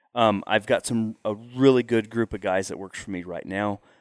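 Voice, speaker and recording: With a Texan accent, a man talks at a moderate pace, fairly low in pitch and with ordinary pitch variation. The recording is very clean with a silent background, and the sound is dry and close with no echo. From Texas Panhandle. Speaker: hunting outfitter. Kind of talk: casual interview. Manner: halting, repetitive.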